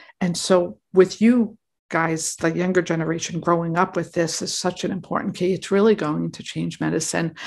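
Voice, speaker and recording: Against a quiet background, a woman with fairly low pitch speaks with vocal fry. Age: 50s. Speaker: physician and podcast host. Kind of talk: interview.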